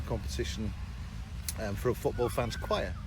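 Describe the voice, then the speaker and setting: Vocal fry marks a man's very deep, low voice as he speaks at a fairly quick pace amid audible room echo. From northern England, Merseyside (Southport). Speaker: teacher. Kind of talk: radio interview.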